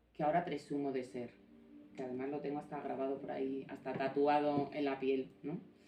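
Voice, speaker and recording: A woman with a very deep, low pitch amid noticeable background noise. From Navarra and Galicia, Spain. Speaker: author and former prison officer. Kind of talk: book presentation talk. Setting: small live audience. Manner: informal, with hesitations.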